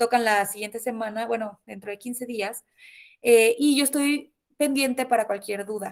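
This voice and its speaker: Here a woman talks at a fairly high pitch. The rise and fall of her voice is ordinary. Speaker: university lecturer. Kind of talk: online lecture. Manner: fast.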